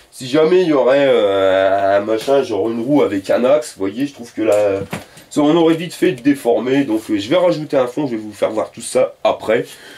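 This man keeps a moderate pace. His intonation is lively. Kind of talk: tutorial. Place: garage. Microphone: camera far.

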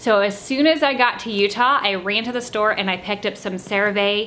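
Light background noise sits behind a woman speaking at a fairly quick pace. Her pitch varies in an ordinary way. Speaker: beauty vlogger. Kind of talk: casual vlog chat. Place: home room. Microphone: camera far.

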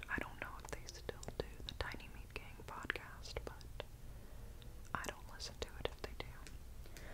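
The pace is fairly slow. It is a woman, whispering. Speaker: vlogger. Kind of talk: casual vlog chat. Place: home room. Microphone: earbuds.

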